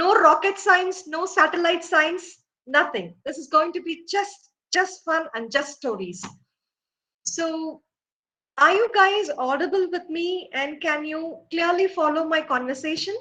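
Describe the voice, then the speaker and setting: A woman with an extremely high pitch uses a raised, projected voice and a bright, sharp tone. She speaks at a fairly slow pace, with big swings in loudness and ordinary pitch variation. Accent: Indian. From India, Tamil Nadu. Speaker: professor. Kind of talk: lecture.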